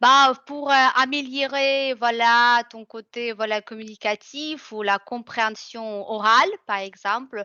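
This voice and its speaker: Her pitch fairly high and its variation ordinary, a woman speaks at a very slow pace. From Russia. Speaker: French tutor. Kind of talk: interview. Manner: hesitant, many fillers.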